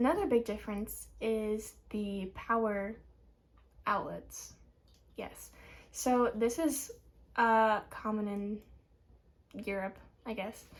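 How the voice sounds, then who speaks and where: A woman with an American accent speaks at a very slow pace, leaving long, frequent pauses. Her fairly high voice is somewhat breathy, with fairly even intonation. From United States. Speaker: student vlogger. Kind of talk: casual vlog.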